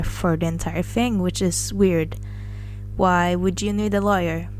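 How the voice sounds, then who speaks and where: Noticeable background noise is present throughout. Over it, a woman talks at a moderate pace. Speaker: first-time commentary YouTuber. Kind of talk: casual commentary to camera.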